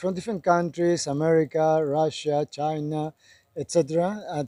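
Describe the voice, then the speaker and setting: Dry and close with no echo, a man with a Spanish accent speaks at a fairly high pitch in a dark, mellow tone with fairly even intonation. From Chile. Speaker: Hare Krishna devotee. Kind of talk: street interview.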